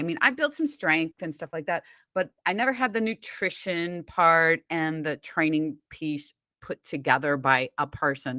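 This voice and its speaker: Slowish and lively in intonation, a woman speaks with a fairly low pitch and a bright, sharp tone, recorded dry and close with no echo in a very clean recording with a silent background. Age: 60s. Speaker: weight loss coach. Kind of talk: interview.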